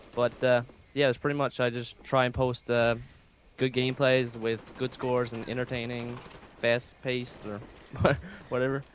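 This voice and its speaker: A man's monotone, flat delivery with long, frequent pauses over noticeable background noise. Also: medium pitch for a man, moderate pace. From Canada. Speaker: gaming YouTuber. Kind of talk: gameplay commentary chat. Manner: hesitant, many fillers.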